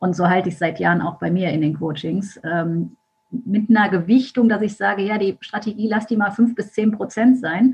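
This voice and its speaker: A woman speaks at a moderate pace in a normal speaking voice. Her pitch is medium, with ordinary pitch variation. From Germany, Düsseldorf. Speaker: mindset and business coach. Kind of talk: podcast interview.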